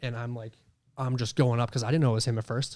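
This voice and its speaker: On a very clean recording with a silent background, a man speaks at medium pitch with fairly even intonation. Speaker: paranormal investigator. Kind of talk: casual chat. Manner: loud, projecting voice.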